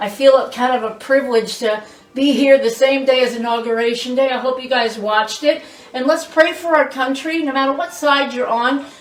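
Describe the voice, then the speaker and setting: A woman speaks at a fairly quick pace in a high pitch. There is audible room echo and noticeable background noise. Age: 60s. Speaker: cooking show host. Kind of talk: cooking demonstration. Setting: home kitchen with family present. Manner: animated.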